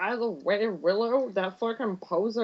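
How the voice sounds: Someone reads in a natural voice. The pitch varies by an ordinary amount.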